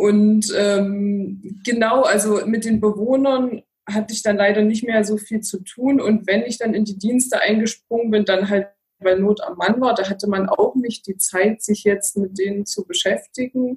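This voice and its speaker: A woman with a normal speaking voice talks at a fairly slow pace, her fairly high pitch carried on fairly even intonation. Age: 30s. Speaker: geriatric nurse and care advisor. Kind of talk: interview.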